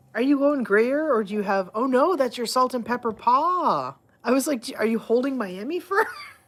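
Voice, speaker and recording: A woman's high-pitched voice at a moderate pace, with lively intonation and noticeable background noise. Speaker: livestreamer showing her pet cats. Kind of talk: casual livestream chat to pets and viewers. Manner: animated, playful baby talk to cats.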